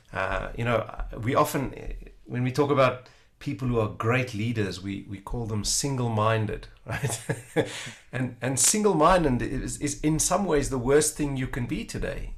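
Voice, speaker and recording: At a moderate pace, a man speaks with lively intonation, a medium pitch and a somewhat breathy quality, with audible room echo. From South Africa. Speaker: strategy consultant. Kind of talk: interview conversation.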